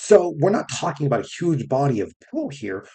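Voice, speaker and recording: With a fairly high pitch and a dark, mellow tone, a man speaks in a somewhat breathy voice with lively intonation. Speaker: science educator. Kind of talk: casual lecture. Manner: casual, filler-heavy with frequent right?.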